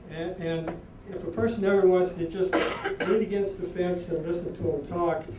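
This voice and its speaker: A man with an American accent, high-pitched and fairly slow, fairly even in intonation, with noticeable background noise and audible room echo. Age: 60s. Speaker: harness racing horseman. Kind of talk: award acceptance speech. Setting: banquet with audience. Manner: halting, repetitive.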